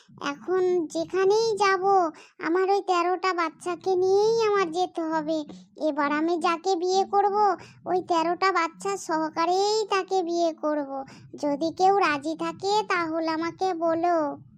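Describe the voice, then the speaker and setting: A cartoonish character voice from a woman, extremely high-pitched, fairly slow, with fairly even intonation and very even loudness. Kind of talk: comic cartoon voice acting. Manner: rambling, repetitive.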